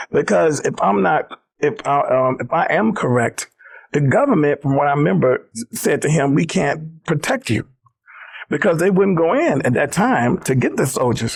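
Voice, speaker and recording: Here a man speaks in a Southern US accent at a moderate pace. His pitch is fairly high and swings very widely. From US South, South Carolina. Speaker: former civil rights organization executive. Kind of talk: interview storytelling. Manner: animated.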